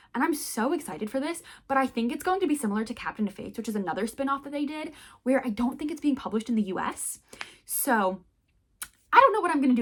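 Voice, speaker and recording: A woman talks at a very fast pace in a high pitch. Her intonation is lively and her tone animated. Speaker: book vlogger. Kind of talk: casual chat.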